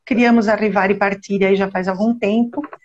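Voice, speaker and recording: The woman's voice is fairly high and somewhat breathy. Her pitch varies in an ordinary way. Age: 60s. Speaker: genealogy researcher. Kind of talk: casual interview on live stream.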